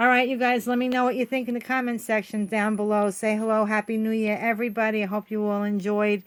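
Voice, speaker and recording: A woman's medium-pitched voice at a fairly quick pace, with fairly even intonation, on a very clean recording with a silent background. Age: 60s. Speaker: craft channel host. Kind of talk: casual craft vlog talk. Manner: halting, many fillers.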